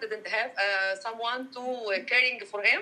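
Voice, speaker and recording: A woman's fairly high voice at a very slow pace, with noticeable background noise. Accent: Arabic. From Egypt, Cairo. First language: Arabic. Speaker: dietitian and researcher. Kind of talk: casual interview. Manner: halting.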